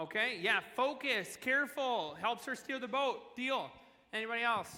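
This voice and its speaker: A man with an extremely high pitch, a bright, sharp tone and a raised, projected voice, animated, at a moderate pace with ordinary pitch variation. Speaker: children's pastor. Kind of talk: sermon. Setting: church stage in the round with audience. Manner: loud.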